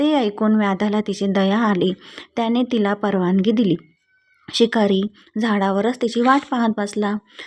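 A natural voice reading aloud, its intonation fairly even.

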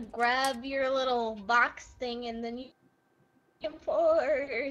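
A female-sounding voice puts on a character voice, pitched high and moving at a very slow pace. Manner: playful, silly.

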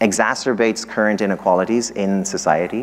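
A man with an Irish accent talks at a fairly low pitch. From Ireland. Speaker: economics professor. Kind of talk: lecture. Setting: stage with audience. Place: hall.

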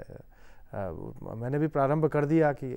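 Against a quiet background, a man speaks at a fairly slow pace. His tone is dark and mellow. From Himachal Pradesh, India. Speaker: member of parliament; politician guest. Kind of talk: interview. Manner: formal. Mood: calm, smiling. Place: studio. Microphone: lapel.

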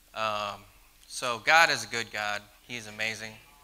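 The man's intonation stays monotone. Everything he says comes out flat. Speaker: guest. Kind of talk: personal testimony talk. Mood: earnest, gentle, a little nervous. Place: church. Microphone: handheld.

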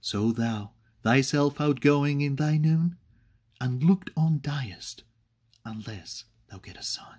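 A man's somewhat breathy voice at a very slow pace, with long, frequent pauses, big swings in loudness, ordinary pitch variation and a quiet background. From Spain. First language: Spanish. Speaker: poetry reader. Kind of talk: poetry reading. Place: home room. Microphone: webcam.

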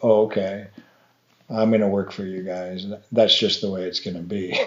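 An American-accented man, fairly low in pitch, monotone and flat in intonation, at a moderate pace. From Montana. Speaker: artisan baker and falconer. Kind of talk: casual conversation. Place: home room.

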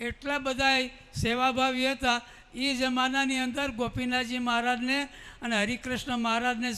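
The voice is raised and projected, with a bright, sharp tone. Intonation stays monotone and flat. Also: man. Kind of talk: memorial tribute speech. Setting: assembly hall with audience, wireless microphone.

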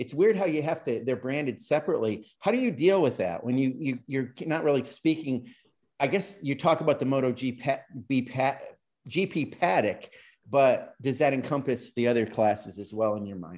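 This man has a plain, everyday voice, fairly high in pitch, with an American accent and lively intonation. He talks at a moderate pace against a quiet background. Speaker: podcast co-host. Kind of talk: casual interview chat.

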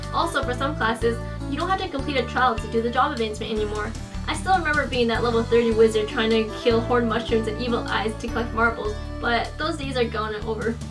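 A woman talks at a very fast pace with clear music in the background. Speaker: gaming vlogger. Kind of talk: scripted informational game vlog. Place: home room.

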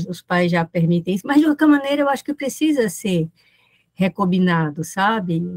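A woman's voice with very wide pitch swings. It sounds somewhat breathy. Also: quiet background. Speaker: professor. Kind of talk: academic lecture. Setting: video call. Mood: thoughtful, engaged. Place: home room. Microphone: webcam.

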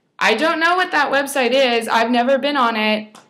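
Her tone is bright and sharp, with ordinary pitch variation. The woman speaks over a quiet background. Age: 20s. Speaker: fashion blogger; blogger sharing a personal story. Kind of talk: personal testimony vlog. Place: home room. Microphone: webcam.

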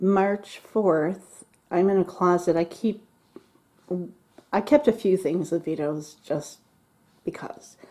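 Her pace is fairly slow, and her pitch sits fairly low for a woman. The pitch shows ordinary variation. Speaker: home vlogger decluttering. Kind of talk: casual vlog chat. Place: home room. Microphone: phone near.

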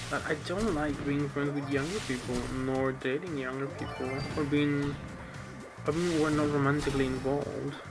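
Fairly high-pitched male voice with fairly even intonation, clear music in the background. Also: moderate pace. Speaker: gaming YouTuber. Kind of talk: casual gaming commentary. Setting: laptop microphone. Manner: monotone, low-energy. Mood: weary, wry. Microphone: webcam.

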